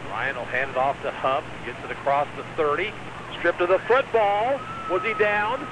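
A man's high-pitched voice at a moderate pace, with very wide pitch swings, a dry sound with no echo, and noticeable background noise. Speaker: radio sports play-by-play announcer. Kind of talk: live radio play-by-play commentary of a high school football game. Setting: stadium press box, radio broadcast. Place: stadium.

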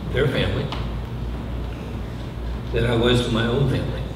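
Clear background noise and audible room echo surround a man whose pitch variation is ordinary.

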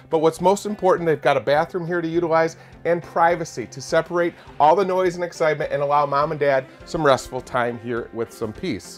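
The delivery is fairly quick. Music plays faintly behind it. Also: man, ordinary pitch variation. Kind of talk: product walkthrough presentation. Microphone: lapel.

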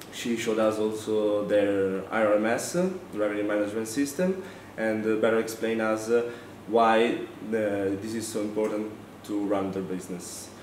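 Light background noise and audible room echo surround a man speaking at a fairly low pitch. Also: ordinary pitch variation, fairly slow pace. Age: 20s. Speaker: student. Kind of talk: testimonial presentation. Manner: halting with frequent fillers. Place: classroom.

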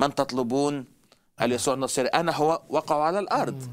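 His voice sits at a medium pitch for a man. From Egypt. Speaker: traveling evangelist preacher; guest teacher on religious show. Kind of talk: religious talk show discussion. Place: studio. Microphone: headset.

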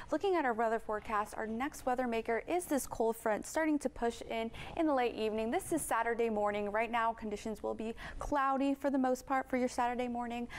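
A woman's high, upbeat voice at a very fast pace, with ordinary pitch variation. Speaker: weather forecaster. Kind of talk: weather report. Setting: studio. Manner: upbeat, brisk, polished TV-broadcast delivery. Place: studio. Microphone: lapel.

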